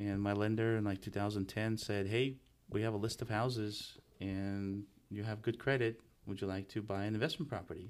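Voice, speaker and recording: A man speaks with a Russian accent. His pitch is fairly low and his pace moderate. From Russia (Moscow), then Los Angeles from about age ten. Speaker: real estate entrepreneur. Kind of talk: casual chat. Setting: studio.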